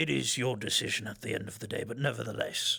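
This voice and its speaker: Over faint music in the background, a man does a raspy, put-on character voice at a very fast pace. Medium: actual play. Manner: calm, earnest.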